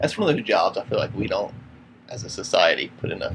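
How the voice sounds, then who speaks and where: With an American accent, a man rattles off his words at a very fast pace while noticeable background noise plays behind him. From US South. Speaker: podcast co-host. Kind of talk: casual chat.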